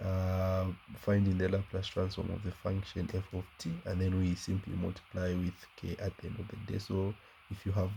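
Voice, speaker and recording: A man speaks in a very deep, low pitch. His tone is dark and mellow, and somewhat breathy. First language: not English. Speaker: math teacher. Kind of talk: tutorial. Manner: halting, many fillers.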